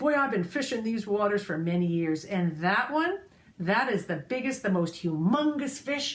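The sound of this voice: Someone reads in an unforced voice. The tone rises and falls in a lively way.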